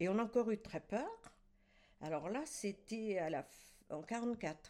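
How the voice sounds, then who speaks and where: The woman's tone is dark and mellow. Her intonation is lively. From France, Champagne (Aube). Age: 80s+. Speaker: retired winegrower. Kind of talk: life-story interview. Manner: halting, with repetitions.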